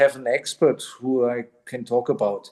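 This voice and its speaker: A man speaks in a German accent at a fairly slow pace. His tone is dark and mellow. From southern Germany. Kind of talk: interviewer on video call.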